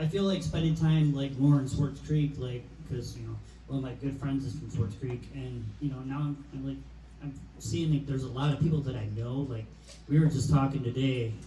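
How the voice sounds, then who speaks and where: A man with a Michigan accent at a fairly quick pace, with audible room echo. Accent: Midwestern American (Michigan). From Michigan, the Pier. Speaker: podcast host. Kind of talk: casual chat.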